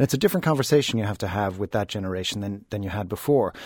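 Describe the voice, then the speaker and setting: Speaking at a very fast pace, a man with an Irish accent has a dark, mellow tone. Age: 40s. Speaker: communications executive. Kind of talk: newspaper panel discussion.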